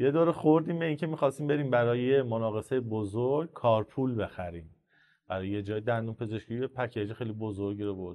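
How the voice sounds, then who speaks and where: Words come at a very fast pace, with ordinary pitch variation. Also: man, medium pitch for a man. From Iran, Isfahan. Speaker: entrepreneur in supplements and pharma distribution. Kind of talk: podcast interview. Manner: casual, conversational storytelling.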